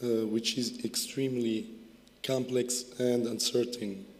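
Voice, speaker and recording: A man at medium pitch and a fairly slow pace, with monotone, flat intonation and audible room echo. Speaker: university research director. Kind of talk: ceremony speech. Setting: graduation ceremony. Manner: halting, many fillers.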